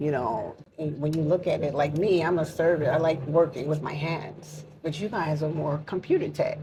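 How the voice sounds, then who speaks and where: A woman with a very deep, low, somewhat breathy voice and a dark, mellow tone talks at a moderate pace, with fairly even intonation and hardly any pauses. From US, New York. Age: 60s. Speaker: entrepreneur, mentor. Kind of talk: casual interview chat.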